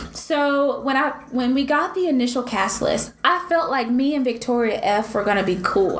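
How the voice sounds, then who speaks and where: A woman's high-pitched, animated voice in a Southern US accent, with noticeable background noise. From US South. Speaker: podcast co-host. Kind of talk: casual chat.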